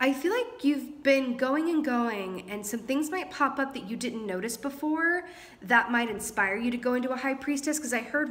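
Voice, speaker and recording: In a room with audible echo, a woman talks with a high pitch and lively intonation. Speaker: tarot reader. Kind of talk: tarot reading. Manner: fast.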